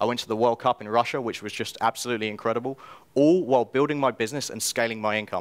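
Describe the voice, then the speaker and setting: A man talks at a very fast pace with medium pitch. His loudness swings widely. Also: ordinary pitch variation, very clean recording, silent background. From England, London. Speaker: self-publisher and copywriter. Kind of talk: conference talk. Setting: stage with audience.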